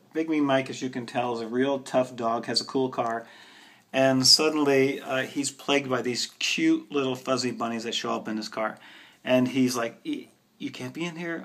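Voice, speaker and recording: Pitched at a medium level, a man's an unremarkable speaking voice carries the clip. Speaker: bookseller. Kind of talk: book recommendations video.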